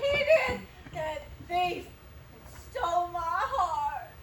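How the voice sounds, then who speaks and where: A woman puts on a character voice with an extremely high pitch. She talks very slowly, her pitch swinging very widely. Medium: stage play. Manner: distraught, wandering.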